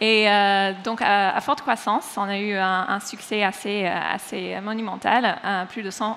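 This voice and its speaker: Fairly even intonation marks this woman's speech in an American accent. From United States. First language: English (speaking French). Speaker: head of brand. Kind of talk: conference panel talk. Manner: hesitant with many fillers.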